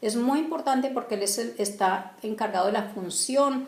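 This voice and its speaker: A woman's voice with ordinary pitch variation comes through audible room echo and noticeable background noise. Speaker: bible teacher. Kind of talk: religious teaching talk. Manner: halting, many fillers and restarts.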